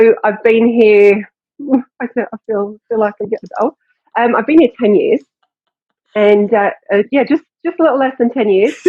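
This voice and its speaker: A woman with a fairly high pitch talks at a moderate pace with ordinary pitch variation. She leaves long, frequent pauses. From England. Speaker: fitness coach and gym owner. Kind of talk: casual interview.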